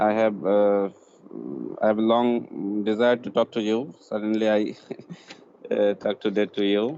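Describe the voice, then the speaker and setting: A man's fairly low voice in a non-native accent, monotone and flat, broken by long, frequent pauses. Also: fairly slow pace. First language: not English. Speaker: caller. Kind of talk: call-in conversation. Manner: halting.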